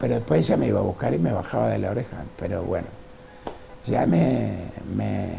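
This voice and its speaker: A man with a very deep, low pitch, very wide pitch swings, a fairly quick pace broken by long, frequent pauses, audible room echo and noticeable background noise. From Uruguay, Salto. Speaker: painter and former businessman. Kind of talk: interview. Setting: at home.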